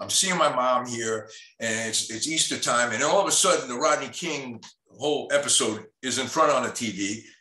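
This man speaks at medium pitch and a moderate pace. His pitch varies in an ordinary way. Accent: New York. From New York. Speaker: documentary photographer and teacher. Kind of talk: panel discussion presenting his photographs. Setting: video call.

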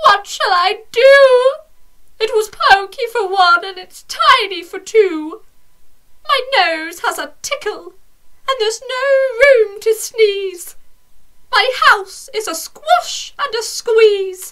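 In a put-on character voice, a woman speaks very slowly at an extremely high pitch with lively intonation. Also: big swings in loudness. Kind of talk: bedtime story. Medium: read story.

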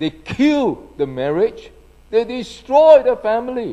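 A man speaking at a very slow pace, his pitch swinging very widely, against a quiet background. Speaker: pastor. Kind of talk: sermon. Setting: church. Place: church. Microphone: handheld.

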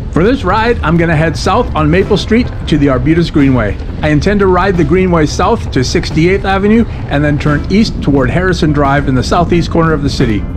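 The speech comes at a fairly quick pace with lively intonation over noticeable background noise. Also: man, fairly high pitch for a man. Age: 50s. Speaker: recreational cyclist. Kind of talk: casual vlog narration.

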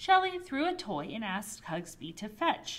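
Someone reads text aloud in a natural voice.

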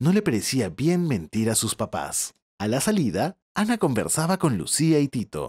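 On a very clean, silent recording that is dry and close with no echo, a man speaks at a moderate pace in a calm, gentle tone with very wide pitch swings. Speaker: storyteller. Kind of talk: bedtime story narration. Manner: calm, gentle storyteller pacing.

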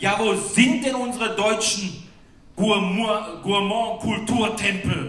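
A man with a high pitch and a bright, sharp tone shows ordinary pitch variation amid strong room echo.

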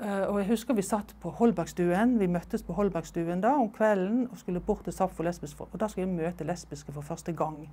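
The voice has a dark, mellow tone with vocal fry and ordinary pitch variation, moving at a fairly quick pace with hardly any pauses. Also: woman, medium pitch for a woman. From Norway. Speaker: oral history interviewee; interviewee. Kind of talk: life story interview. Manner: halting, with fillers and repetitions. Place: home room. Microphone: lapel.

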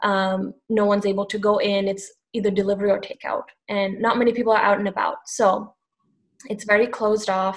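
A woman talks fairly quickly in a monotone, flat intonation against a quiet background. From Sri Lanka. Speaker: social media strategist; panel expert. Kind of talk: panel discussion on webinar. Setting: video call. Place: home room. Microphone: webcam.

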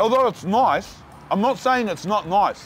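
With music in the background, a man talks at a moderate pace with ordinary pitch variation in a dry sound with no echo. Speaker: food reviewer. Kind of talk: casual food review vlog chat. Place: street. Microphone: lapel.

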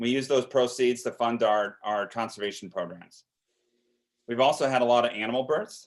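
A man with an unremarkable speaking voice, medium pitch, moderate pace and fairly even intonation. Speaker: zoo director presenting to county board. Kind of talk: presentation.

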